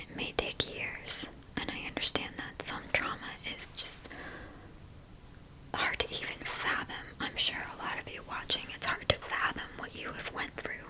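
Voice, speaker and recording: A woman whispers in a gentle tone at a moderate pace, with big swings in loudness and long, frequent pauses. Noticeable background noise runs underneath. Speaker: spiritual reader, healer and teacher. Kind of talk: ASMR talk therapy session, whispered spiritual talk. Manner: soft-spoken, gentle, rambling, comforting.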